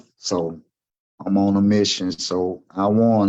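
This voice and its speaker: A man with a Southern US accent, very deep and low in pitch, with a dark, mellow tone and fairly even intonation. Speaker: gun violence survivor. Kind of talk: interview testimony. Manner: halting, with repetitions.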